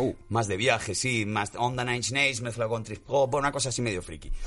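A man talks very fast in a medium pitch, with a bright, sharp tone. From Spain, Galicia. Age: 40s. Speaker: musician and comedian. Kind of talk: casual chat.

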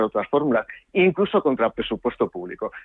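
A man talks at a very fast pace. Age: 50s. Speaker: politician. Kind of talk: radio interview.

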